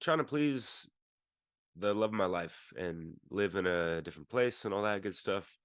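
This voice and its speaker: A man is speaking. His pitch is fairly low. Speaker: podcast co-host. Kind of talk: casual discussion.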